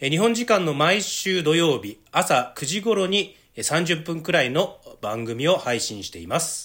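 His pitch is high, swinging very widely up and down. The man's loudness also swings in big ways. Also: fairly slow pace. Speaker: news correspondent and podcast host. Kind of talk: casual news discussion podcast.

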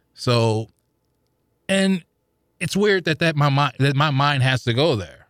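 A man with an American accent speaks in an ordinary speaking voice at a fairly high pitch, using lively intonation at a fairly slow pace. The sound is dry and close with no echo, on a very clean recording with a silent background. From US Midwest, St. Louis. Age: 40s. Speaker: podcast listener guest. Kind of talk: casual interview. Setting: studio.

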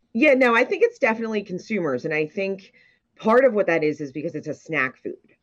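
A medium-pitched woman at a very fast pace, with very wide pitch swings and big swings in loudness over a quiet background. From Ocean City, New Jersey. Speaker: popcorn company executive. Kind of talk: casual interview.

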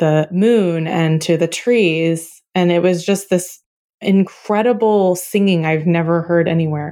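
With an American accent, a woman speaks very slowly in a dark, mellow tone. Her pitch is fairly low and her intonation fairly even. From Oklahoma, US. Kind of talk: interview conversation.

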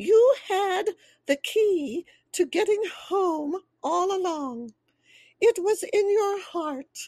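A woman uses a put-on character voice at an extremely high pitch. She goes at a very slow pace with long, frequent pauses.

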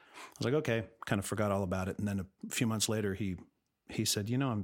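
A man with an American accent talks at a very fast pace and a fairly low pitch. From Los Angeles, California. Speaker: musician and film composer. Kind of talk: interview. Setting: remote recording from home studio.

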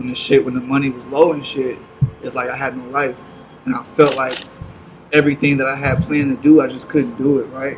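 Against noticeable background noise, a man talks at a fairly quick pace in a monotone, flat intonation. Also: medium pitch for a man. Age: 20s. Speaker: music artist. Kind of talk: casual chat.

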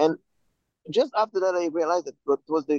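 The recording of this man is dry and close with no echo, and his pitch varies in an ordinary way. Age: 40s. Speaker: photographer and bank manager. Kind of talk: interview. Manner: halting.

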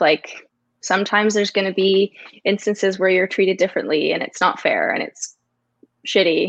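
A woman with a Canadian accent speaks at a fairly quick pace in a plain, everyday voice with a medium pitch. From Toronto, Canada. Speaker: hockey journalist. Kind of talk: casual interview.

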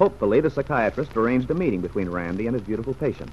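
Over noticeable background noise, a man races at a very fast pace in a dramatic tone with very wide pitch swings. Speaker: radio drama narrator. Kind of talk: scripted narration, old-time radio drama. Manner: grave, even, dramatic storyteller tone.

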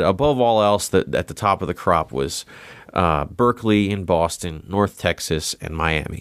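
A man with a plain, everyday voice speaks at a fairly low pitch with lively intonation, on a very clean recording with a silent background. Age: 30s. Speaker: touring drummer. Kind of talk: casual interview chat.

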